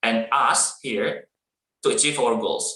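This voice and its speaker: The speaker's bright, sharp tone carries lively intonation at a fairly slow pace. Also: man. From Indonesia, East Java. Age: 30s. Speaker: teacher, webinar speaker. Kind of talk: motivational talk. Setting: online webinar.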